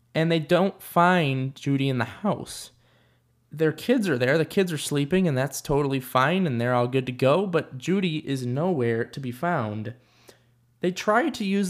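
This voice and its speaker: An unremarkable speaking voice from a man with an American accent, fairly high in pitch, at a moderate pace with ordinary pitch variation, in a very clean recording with a silent background. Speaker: true crime podcast host. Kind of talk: true-crime narration. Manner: measured, serious storytelling pace; earnest, conversational.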